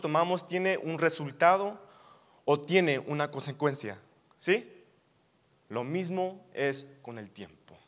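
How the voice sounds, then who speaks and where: A man at a high pitch and fairly slow pace, ordinary pitch variation, big swings in loudness, over a quiet background. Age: 20s. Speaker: youth preacher. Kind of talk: sermon. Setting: church. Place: hall.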